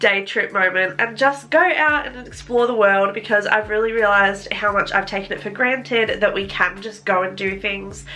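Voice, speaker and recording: Ordinary pitch variation with an Australian accent over noticeable background noise. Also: woman. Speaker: lifestyle vlogger. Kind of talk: casual vlog talk to camera. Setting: sitting in front of a camera at home.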